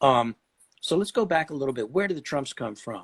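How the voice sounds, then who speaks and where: A medium-pitched man talks at a fairly quick pace. His intonation is lively, and the sound is dry and close with no echo. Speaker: tarot expert. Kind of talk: lecture. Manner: fast; halting.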